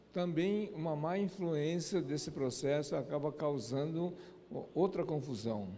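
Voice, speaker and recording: Man's fairly high voice with a dark, mellow tone and a Japanese accent, at a very slow pace, with audible room echo. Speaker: lecturer. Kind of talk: lecture. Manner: halting.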